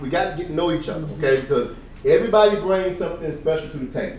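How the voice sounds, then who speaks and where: A man speaks in a high voice with lively intonation and an animated tone. The room echo is audible, and background noise is noticeable. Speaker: real estate coach / event speaker. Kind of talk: seminar talk. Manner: fast.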